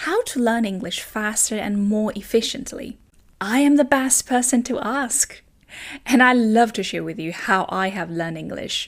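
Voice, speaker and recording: Speaking with a non-native accent, a woman with a fairly high pitch uses lively intonation at a moderate pace in a very clean recording with a silent background. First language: not English. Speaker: language teacher. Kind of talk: tutorial.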